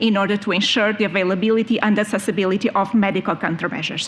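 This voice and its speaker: A woman talks at a very fast pace with medium pitch. Noticeable background noise is present. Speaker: EU health official. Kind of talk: conference presentation. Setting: conference panel with audience.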